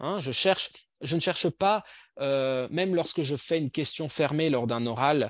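A man with an unremarkable speaking voice talks at a moderate pace with ordinary pitch variation, the sound dry with no echo and the background quiet. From Belgium. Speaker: language teacher trainer. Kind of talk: online workshop presentation. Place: home room. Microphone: video call.

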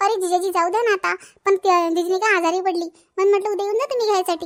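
A woman puts on a cartoonish character voice at an extremely high pitch and a fairly quick pace. The intonation stays fairly even, and the sound is dry and close with no echo. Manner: chatty, insistent.

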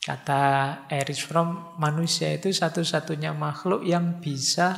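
At a very slow pace, a man speaks in a fairly high voice with monotone, flat intonation. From Indonesia. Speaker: Islamic philosophy lecturer. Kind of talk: lecture. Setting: mosque lecture with microphone. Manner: formal. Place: hall.

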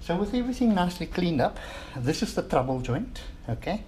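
A man's somewhat breathy, dark, mellow voice over light background noise. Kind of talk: tutorial. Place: workshop. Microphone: camera far.

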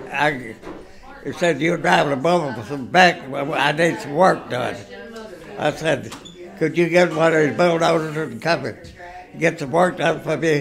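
Speaking with an American accent at a fairly slow pace, the voice has ordinary pitch variation and long, frequent pauses over noticeable background noise. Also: man, fairly high pitch for a man. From Ohio, USA. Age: 80s+. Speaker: retired bulldozer operator. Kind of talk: interview answer. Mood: calm reminiscing. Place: home room. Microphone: phone near.

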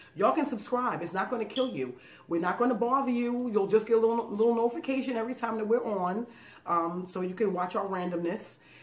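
Very fast and animated, a woman speaks at a fairly high pitch with ordinary pitch variation. Room echo is audible. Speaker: food YouTube channel co-host. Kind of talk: casual thank-you message to viewers. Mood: warm, grateful, playful. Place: home room.

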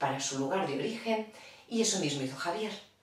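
Strong room echo surrounds the recording. A woman speaks at a fairly quick pace.

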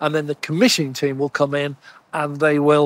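In a dry sound with no echo, a man talks at a fairly quick pace. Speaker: presenter. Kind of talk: explanatory vlog commentary. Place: street. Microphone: lapel.

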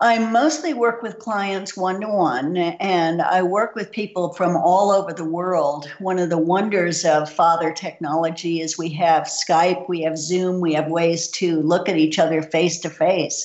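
Fairly low in pitch, a woman speaks at a fairly slow pace with hardly any pauses over noticeable background noise. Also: ordinary pitch variation. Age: 60s. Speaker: nutritionist. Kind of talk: interview.

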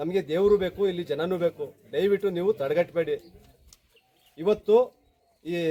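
Here a man speaks with a high pitch. His voice sounds dry and close, without any echo. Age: 50s. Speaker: devotee and activist. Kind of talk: public protest appeal. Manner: impassioned, emphatic.

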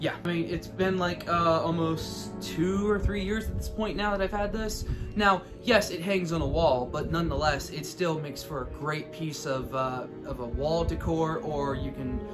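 A man talks at a moderate pace with ordinary pitch variation while clear music plays in the background. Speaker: prop reviewer. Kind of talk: casual vlog chat. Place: home room. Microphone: phone near.

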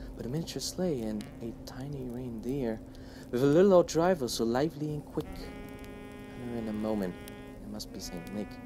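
With music in the background, a man speaks at a moderate pace with big swings in loudness. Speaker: channel host reading a poem aloud. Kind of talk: poetry reading. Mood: warm, lively storytelling. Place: home room.

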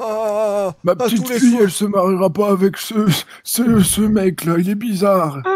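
In a put-on character voice, a man speaks fairly slowly at a high pitch. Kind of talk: comic overacting. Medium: game stream. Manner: indignant, rambling, confused.

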